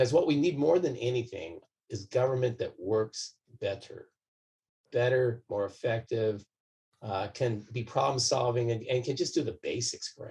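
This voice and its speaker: A man with an American accent talks at a moderate pace and medium pitch, somewhat breathy and dark, mellow in tone, with ordinary pitch variation. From US West, southern California. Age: 60s. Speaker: doctor and political candidate. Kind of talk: interview. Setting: podcast recording. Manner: calm, measured.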